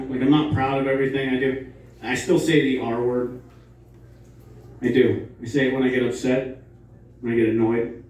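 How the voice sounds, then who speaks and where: A man talks in a flat monotone at medium pitch, with audible room echo around him. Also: long, frequent pauses. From West Virginia (Morgantown). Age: 40s. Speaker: stand-up comedian. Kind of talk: stand-up. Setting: stage with audience.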